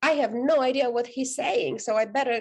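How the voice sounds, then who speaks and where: A woman at a moderate pace, her pitch varying in an ordinary way. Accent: Romanian. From Romania. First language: Romanian. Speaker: author and life coach. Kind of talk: podcast interview.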